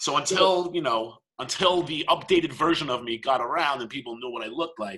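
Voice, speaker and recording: Loud and in a bright, sharp tone, a man with an American accent speaks at a fairly high pitch. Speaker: podcast co-host. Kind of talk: casual chat. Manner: loud, talkative.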